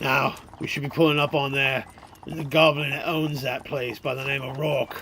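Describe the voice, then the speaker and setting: A man uses a raspy, put-on character voice at a fairly high pitch with monotone, flat intonation. He keeps a moderate pace over clear background noise. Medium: audio drama. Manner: gruff, folksy, bossy.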